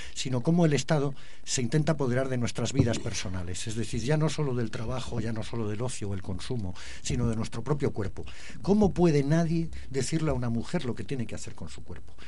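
A man talks at a very fast pace and medium pitch with lively intonation, his dark, mellow tone somewhat breathy amid audible room echo. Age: old. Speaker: activist. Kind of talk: radio interview.

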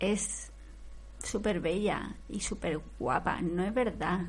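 A woman is speaking. Vocal fry runs through her voice. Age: 40s. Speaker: TV series commentator. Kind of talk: live commentary. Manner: animated.

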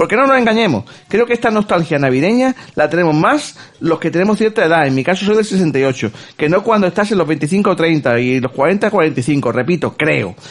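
Amid noticeable background noise, a man talks at a fairly quick pace with a high pitch and very wide pitch swings. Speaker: podcast host. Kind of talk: casual chat.

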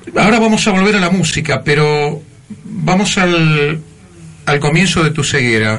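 A man's fairly high voice at a fairly slow pace, lively intonation, very even loudness, audible room echo and noticeable background noise. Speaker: radio host. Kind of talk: radio show, warm interview. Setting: radio studio.

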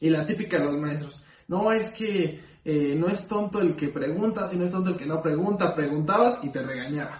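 Amid noticeable background noise and audible room echo, a man talks fairly quickly at a high pitch with ordinary pitch variation. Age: 20s. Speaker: podcast co-host. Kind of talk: casual chat.

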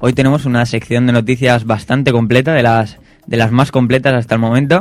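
With a Spanish accent, the speaker talks at a moderate pace in monotone, flat intonation. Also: man. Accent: Peninsular Spanish. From Spain. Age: young. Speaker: radio host. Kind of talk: casual chat. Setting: studio.

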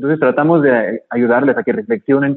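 A man with a medium pitch, an unremarkable speaking voice, at a moderate pace. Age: 30s. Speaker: motivational speaker and case worker. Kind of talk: radio interview.

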